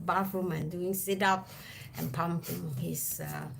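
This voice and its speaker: Recorded with audible room echo and noticeable background noise, a woman is speaking. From Singapore. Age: 50s. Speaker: travel vlogger. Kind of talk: casual chat.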